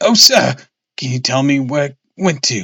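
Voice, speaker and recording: A man's put-on character voice, fairly high-pitched and shaky, with lively intonation and a moderate pace. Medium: read story. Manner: quivering, nervous.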